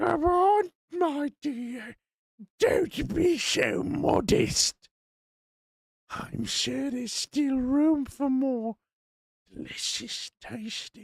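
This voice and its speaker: Putting on a character voice with an extremely high pitch, a man speaks very slowly, with long, frequent pauses. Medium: game stream. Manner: sugary, insistent.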